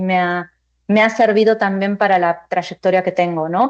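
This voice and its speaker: A woman with an Argentine accent speaks at a medium pitch with fairly even intonation. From Argentina. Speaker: finance executive. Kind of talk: panel discussion.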